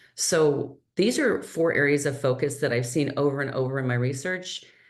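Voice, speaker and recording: A woman's very deep, low voice at a moderate pace, with ordinary pitch variation and audible room echo. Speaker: healthcare strategist and nurse entrepreneur. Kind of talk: webinar presentation. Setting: online webinar.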